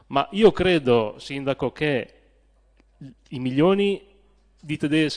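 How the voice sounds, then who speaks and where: A man talks at a fairly slow pace with ordinary pitch variation. It is a plain, everyday voice. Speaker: town councillor. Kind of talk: council debate speech.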